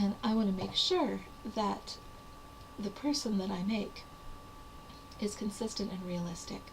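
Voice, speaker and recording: A woman's medium-pitched voice at a fairly slow pace, with ordinary pitch variation and long, frequent pauses, against noticeable background noise and audible room echo. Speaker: writer / vlogger. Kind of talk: casual talk to camera. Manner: hesitant, many fillers.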